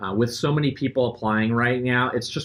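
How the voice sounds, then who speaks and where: Keeping his intonation fairly even, a man speaks at a fairly quick pace. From Philadelphia area. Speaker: sales manager. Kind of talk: recruitment presentation.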